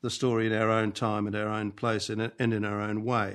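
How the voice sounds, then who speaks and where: With an Australian accent, a man speaks at a moderate pace and medium pitch against a quiet background. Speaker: archbishop and scripture scholar. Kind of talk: lecture. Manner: halting.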